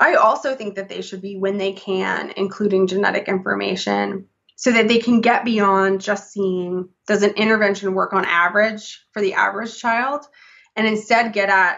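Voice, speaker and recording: In an ordinary speaking voice, a woman speaks at a moderate pace with medium pitch and fairly even intonation against a quiet background. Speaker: psychology professor. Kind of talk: interview conversation. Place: home room.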